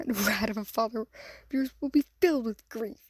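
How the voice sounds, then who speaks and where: Hissing comes through as a woman puts on a character voice, high in pitch and at a moderate pace. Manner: hissing, gleeful, malicious.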